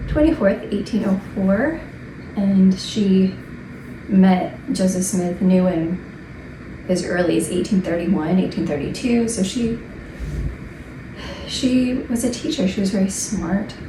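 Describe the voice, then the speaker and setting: Amid noticeable background noise, a woman with a medium pitch and ordinary pitch variation speaks at a very slow pace with long, frequent pauses. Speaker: religious history commentator. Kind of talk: casual talk to camera.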